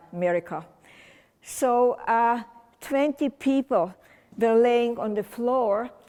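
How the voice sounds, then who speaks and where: Speaking with a non-native accent, a woman lets her pitch vary in an ordinary way. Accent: foreign. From Romania (Czernowitz region). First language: German. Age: 80s+. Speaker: holocaust survivor speaker. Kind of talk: testimony. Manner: halting.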